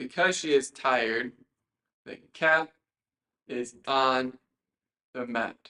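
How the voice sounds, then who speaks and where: A man's bright, sharp voice at medium pitch. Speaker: English teacher. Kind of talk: live online lesson. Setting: live stream from a workspace.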